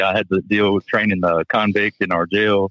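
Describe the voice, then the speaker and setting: A man's fairly low pitch with monotone, flat intonation at a very fast pace. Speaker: gym owner. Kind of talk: casual chat. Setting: phone call.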